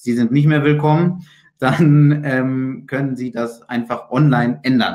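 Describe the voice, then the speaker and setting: Over a quiet background, a man talks at a very slow pace. His intonation stays fairly even. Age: 20s. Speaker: IT consultant and managing director; webinar presenter. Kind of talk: webinar lecture. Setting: video call. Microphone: video call.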